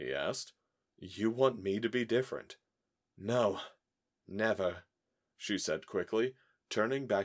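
Someone reads aloud in a natural voice, with ordinary pitch variation and a quiet background behind it.

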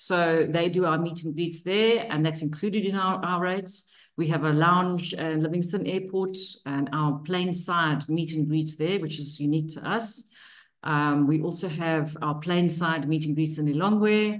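A woman's unremarkable speaking voice, fairly low in pitch, at a moderate pace over a quiet background. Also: fairly even intonation. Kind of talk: webinar presentation. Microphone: video call.

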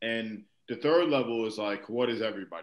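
The pace is moderate. Audible room echo is present. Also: man. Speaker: podcast co-host, basketball coach. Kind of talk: podcast discussion. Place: home room. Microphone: video call.

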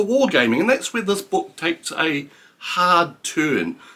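Swinging very widely in pitch, a man talks with a New Zealand accent. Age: 50s. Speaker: book reviewer. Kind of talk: book review monologue. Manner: halting, many fillers. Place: home room.

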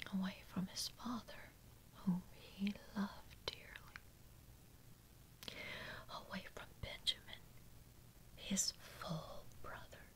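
Whispering at a very slow pace, with long, frequent pauses. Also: woman. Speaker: Bible reader. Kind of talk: Bible reading with commentary. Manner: soft-spoken. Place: home room.

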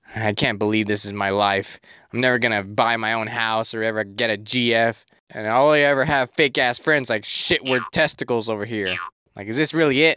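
In a put-on character voice, a man speaks at a fairly quick pace with a medium pitch and a whiny, deadpan tone, captured in a very clean recording with a silent background. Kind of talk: comic parody cartoon voice. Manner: mopey, whiny, deadpan.

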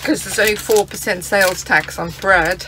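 Over faint background noise, a woman speaks at a medium pitch with a bright, sharp tone.

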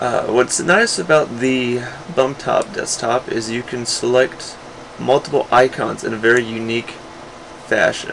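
This man talks at a fairly slow pace in a medium pitch with ordinary pitch variation. Noticeable background noise runs under his voice. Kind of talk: casual tutorial talk. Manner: hesitant, many filler sounds.

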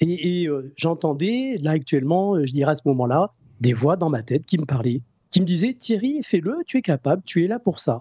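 A man speaks at a high pitch and a moderate pace, his pitch swinging very widely. The sound is dry with no echo, over a quiet background. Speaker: energy healer; guest. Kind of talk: interview. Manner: halting. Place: home room. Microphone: new microphone, good sound; studio mic.

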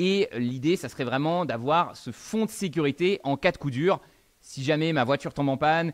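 With a quiet background, a man speaks at a fairly quick pace and ordinary pitch variation. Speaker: finance educator. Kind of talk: tutorial. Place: home room. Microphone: studio mic.

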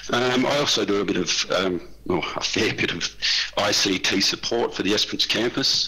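A man with an Australian accent speaks with ordinary pitch variation over noticeable background noise. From Western Australia. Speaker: vocational lecturer. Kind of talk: conference workshop presentation.

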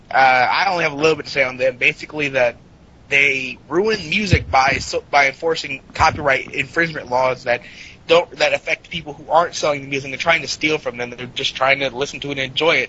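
A plain, everyday voice speaks with an American accent. The pace is fairly quick, with ordinary pitch variation. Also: man, fairly high pitch for a man. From US South, Florida near the Georgia border. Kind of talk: casual chat.

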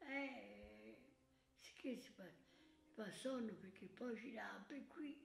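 A woman's high voice at a very slow pace, with ordinary pitch variation, big swings in loudness and long, frequent pauses. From Tuscany, Italy. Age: 80s+. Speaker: centenarian. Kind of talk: interview answer.

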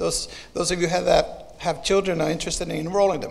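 The man speaks in a high pitch. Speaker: announcer. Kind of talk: announcements. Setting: church. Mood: warm, lightly joking. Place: church. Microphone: podium.

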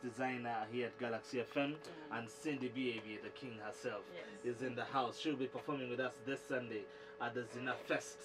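Against clear music in the background, a man talks at a fairly quick pace with fairly even intonation. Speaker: radio show host. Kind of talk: radio talk show interview questions. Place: studio.

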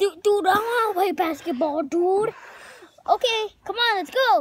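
A cartoonish character voice pitched extremely high, delivered at a moderate pace. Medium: puppet show. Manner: casual, enthusiastic, says dude a lot.

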